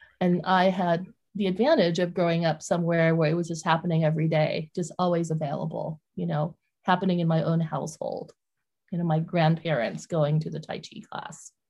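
A woman talks at a fairly quick pace in a fairly low, somewhat breathy voice. Her intonation is monotone and flat. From Vietnam. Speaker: author. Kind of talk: interview.

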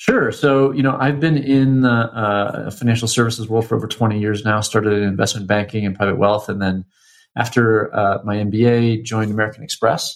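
Over a quiet background, a plain, everyday voice moves at a moderate pace with fairly even intonation. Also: man. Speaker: fintech founder. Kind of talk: interview. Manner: many fillers and repetitions.

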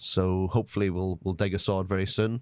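A man with an Irish accent. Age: 40s. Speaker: master distiller. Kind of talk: casual interview chat.

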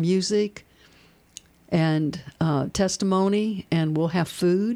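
The voice has a dark, mellow tone and a Kentucky accent. It moves at a very slow pace with fairly even intonation. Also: woman. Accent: Kentucky Southern US. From central Kentucky, rural. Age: 60s. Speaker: activist. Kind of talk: radio interview. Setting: radio studio.

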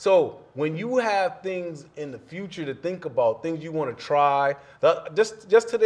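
At a fairly quick pace, a man with an unremarkable speaking voice talks with lively intonation. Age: 40s. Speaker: motivational speaker and social worker. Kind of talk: casual chat.

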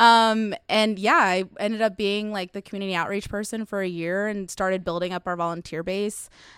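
An unremarkable speaking voice with an American accent, fairly even intonation, and a fairly quick pace with hardly any pauses, on a very clean recording with a silent background. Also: woman, medium pitch for a woman. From Dallas, Texas (Webb Chapel area). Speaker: community organizer. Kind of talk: casual interview.

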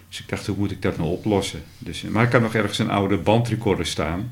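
Somewhat breathy, a man speaks at a moderate pace in a fairly low pitch. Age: 60s. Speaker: podcast host and radio hobbyist. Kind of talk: casual interview. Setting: at the guest's home.

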